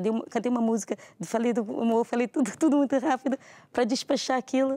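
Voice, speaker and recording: A woman speaks at a very fast pace in a high voice with a dark, mellow tone. The sound is dry and close, with no echo. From Brazil, Rio de Janeiro. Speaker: churchgoer giving testimony. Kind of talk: testimony.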